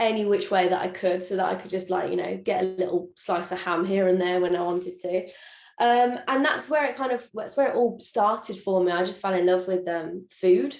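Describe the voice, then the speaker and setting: With music in the background, a woman in a Birmingham accent speaks fairly quickly at a medium pitch, with ordinary pitch variation. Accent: Birmingham (Brummie). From England, Birmingham. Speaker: chef and social media cook. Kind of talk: interview. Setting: video call.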